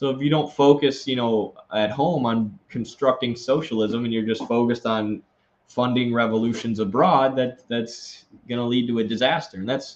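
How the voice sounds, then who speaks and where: With an American accent, a man talks at a moderate pace and with fairly even intonation. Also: medium pitch for a man. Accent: Wisconsin accent, slight, comes out at times. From Wisconsin, US Midwest. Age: 20s. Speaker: political commentator, live streamer. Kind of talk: live stream, reading and answering super chats. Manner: casual, many fillers.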